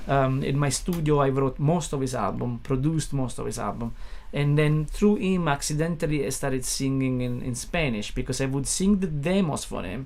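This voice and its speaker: A man talks in a fairly high pitch with hardly any pauses. Audible room echo surrounds the voice. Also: ordinary pitch variation, moderate pace. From Italy, Naples. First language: Italian (Neapolitan). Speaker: musician and record producer. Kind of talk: casual interview chat. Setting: studio. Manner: halting, many fillers and restarts.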